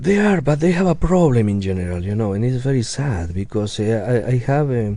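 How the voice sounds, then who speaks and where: Audible room echo surrounds a man's dark, mellow voice. He talks fairly quickly, with very wide pitch swings. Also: medium pitch for a man. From Argentina. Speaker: opera tenor. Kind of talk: radio interview. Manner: halting, many repetitions.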